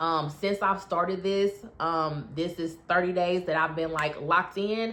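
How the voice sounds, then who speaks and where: Fairly low in pitch, a woman speaks in an unremarkable speaking voice at a moderate pace with ordinary pitch variation. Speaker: health and weight loss coach. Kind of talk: casual vlog update. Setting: bedroom at home. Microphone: echoey room, no proper mic.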